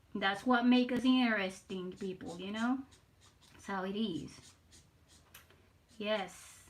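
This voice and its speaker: A woman speaks at medium pitch and a fairly slow pace, with ordinary pitch variation and long, frequent pauses. Her loudness swings widely, and the room echo is audible. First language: Spanish. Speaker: artist streamer. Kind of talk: casual live stream chat while drawing. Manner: halting, repeats words.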